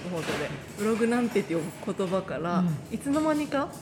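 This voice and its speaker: At a fairly quick pace, a woman of medium pitch speaks with lively intonation, amid noticeable background noise and audible room echo. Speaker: podcast host and singer. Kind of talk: casual interview chat.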